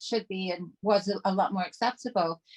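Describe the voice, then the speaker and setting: A somewhat breathy woman speaks with fairly even intonation, the sound dry and close with no echo. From Canada, Toronto. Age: 50s. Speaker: trauma survivor and artist. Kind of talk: casual chat.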